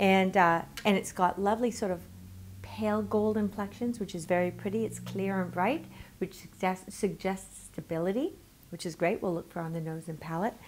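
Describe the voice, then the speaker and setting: With ordinary pitch variation, the words unfold at a moderate pace. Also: woman. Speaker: wine critic host. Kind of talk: tutorial. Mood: warm, cheerful. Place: home room. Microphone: lapel.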